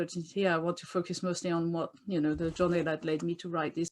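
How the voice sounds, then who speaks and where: In a French accent, the speaker moves along at a fairly quick pace. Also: woman. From France. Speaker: doula and author. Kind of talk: interview. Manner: animated.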